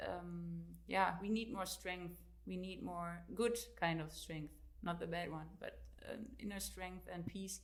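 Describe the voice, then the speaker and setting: A woman with a German accent at a fairly slow pace, with audible room echo. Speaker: author and fitness coach. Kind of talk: interview. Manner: halting.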